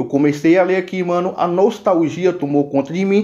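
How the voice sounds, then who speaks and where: At a moderate pace, a man with a high voice speaks with ordinary pitch variation. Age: 30s. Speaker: gaming YouTuber. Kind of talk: casual vlog commentary. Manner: animated.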